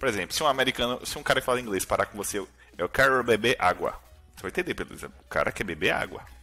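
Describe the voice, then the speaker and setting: A man's voice with music in the background. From Brazil, Salvador, Bahia. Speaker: software developer. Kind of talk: casual chat.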